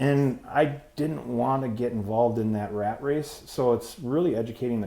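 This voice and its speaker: Fairly even intonation marks this man's medium-pitched voice. He moves at a moderate pace with a dark, mellow tone. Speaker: roofing contractor, business owner. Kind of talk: casual interview. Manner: loud.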